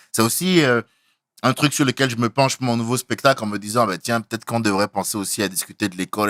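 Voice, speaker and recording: A man talks at a very fast pace with ordinary pitch variation. The sound is dry and close with no echo, on a very clean recording with a silent background. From Benin. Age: 30s. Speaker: stand-up comedian. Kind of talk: casual interview.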